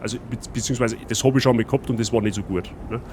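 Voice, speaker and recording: A man with a Bavarian accent at a fairly quick pace. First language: Bavarian dialect (speaking German). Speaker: streamer. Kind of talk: gameplay commentary. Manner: casual, chatty.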